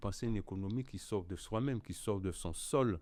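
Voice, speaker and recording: The voice belongs to a man with a dark, mellow tone. He talks at a moderate pace. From Guadeloupe. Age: 60s. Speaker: cassava artisan. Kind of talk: podcast interview.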